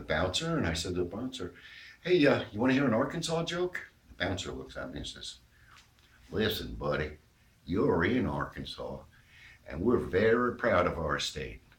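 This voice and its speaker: This man's pitch swings very widely. He keeps a moderate pace, with vocal fry in his voice. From New York. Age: 60s. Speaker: amateur comedian. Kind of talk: stand-up.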